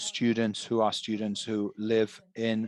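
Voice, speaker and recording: In a plain, everyday voice, a man talks at a fairly slow pace and medium pitch, the sound dry and close with no echo. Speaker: interpreter for a librarian panelist. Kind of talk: webinar presentation.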